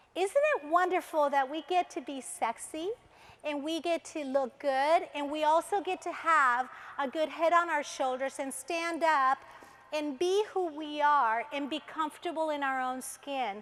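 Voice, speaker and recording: Speaking at a fairly slow pace, a woman with a high pitch sounds animated, with ordinary pitch variation. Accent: Spanish. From Colombia. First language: Spanish. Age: 50s. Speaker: motivational speaker. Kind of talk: motivational talk. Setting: stage with audience.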